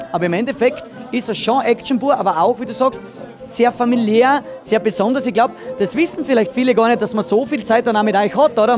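With clear music in the background, a man speaks at a very fast pace with ordinary pitch variation, the sound dry with no echo. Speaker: TV reporter. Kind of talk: reporter presentation and interview questions. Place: bar. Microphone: handheld.

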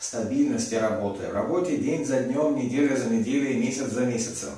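A man speaks at a moderate pace. Audible room echo surrounds the voice. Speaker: massage teacher. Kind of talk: lecture. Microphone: camera far.

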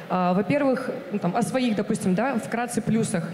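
Fairly quick speech with ordinary pitch variation, audible room echo and light background noise. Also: woman. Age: 20s. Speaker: TV presenter candidate at casting; TV presenter. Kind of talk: job interview / casting. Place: stage. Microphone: handheld.

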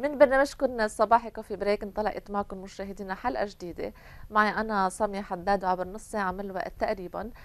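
A woman talks at a fairly quick pace with ordinary pitch variation. Her loudness swings widely. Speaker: TV presenter. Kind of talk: TV show hosting and storytelling. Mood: warm, smiling. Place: studio. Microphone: lapel.

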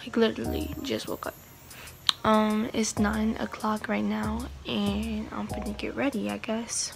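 A woman's raspy, put-on character voice at a fairly slow pace with hardly any pauses, over clear background noise. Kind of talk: casual vlog.

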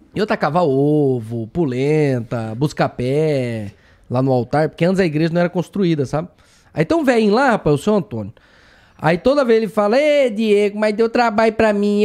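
Against a quiet background, a man with a high pitch speaks at a moderate pace in an animated tone, his pitch swinging very widely. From Brazil. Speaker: comedian with Tourette syndrome. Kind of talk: casual chat. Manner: sudden vocal tics from Tourette; animated, laughing. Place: studio. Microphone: studio mic.

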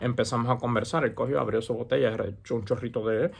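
The speech comes at a very fast pace. The voice is somewhat breathy. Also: man. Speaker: santería practitioner and YouTuber; religious advice vlogger. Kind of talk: casual advice monologue. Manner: hesitant with many fillers. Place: home room. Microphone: earbuds.

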